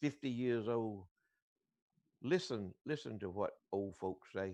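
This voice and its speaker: A man with a Southern US accent. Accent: Southern US (Georgia). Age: 70s. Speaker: radio show co-host. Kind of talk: casual chat. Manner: halting, repeats words.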